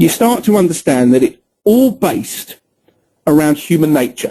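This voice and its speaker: Speaking with a British accent, a man uses a high pitch with very wide swings and a dark, mellow tone, moving at a fairly slow pace. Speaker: trading educator. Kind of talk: webinar presentation. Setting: online webinar with screen recording.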